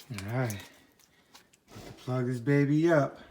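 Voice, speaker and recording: A man speaks in a mumble. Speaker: homeowner doing DIY repair. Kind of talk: casual talk to camera. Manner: mumbling.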